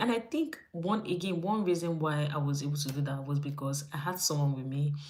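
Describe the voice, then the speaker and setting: Female speech with noticeable background noise behind it. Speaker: YouTube vlogger. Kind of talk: casual livestream chat. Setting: live stream from home. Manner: fast.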